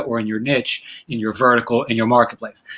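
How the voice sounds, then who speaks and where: The man's tone comes across bright and sharp. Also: very clean recording, silent background. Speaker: online business educator. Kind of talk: casual talking-head advice video. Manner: many fillers and restarts.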